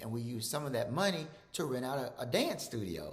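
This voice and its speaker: A man with a Mississippi accent speaks at a moderate pace, somewhat breathy. His pitch swings very widely, and the room echo is audible. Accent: Southern US (Mississippi). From Mississippi, US South. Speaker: physician. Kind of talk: presentation. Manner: repetitive, halting with fillers.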